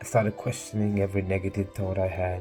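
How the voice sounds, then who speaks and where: Music plays in the background as a man speaks at a fairly quick pace. His pitch is fairly low, and his intonation is fairly even. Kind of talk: personal speech recorded to camera. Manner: earnest, reflective.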